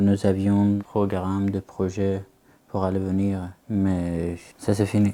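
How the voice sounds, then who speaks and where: In a dark, mellow tone, a man speaks very slowly with monotone, flat intonation. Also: fairly low pitch for a man. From Afghanistan, Herat. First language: Dari or Pashto (speaking French). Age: 20s. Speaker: refugee student. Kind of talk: interview. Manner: halting.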